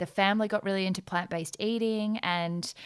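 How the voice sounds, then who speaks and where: On a very clean recording with a silent background, a woman with an Australian accent speaks with fairly even intonation. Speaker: entrepreneur, former lawyer, podcast guest. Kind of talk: casual chat.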